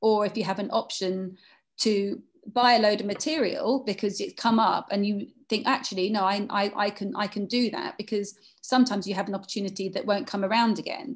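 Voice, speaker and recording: A woman's somewhat breathy voice at medium pitch, with fairly even intonation and a fairly quick pace, over a quiet background. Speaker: fashion brand founder and creative director. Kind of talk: panel conversation. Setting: video call. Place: shop. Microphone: video call.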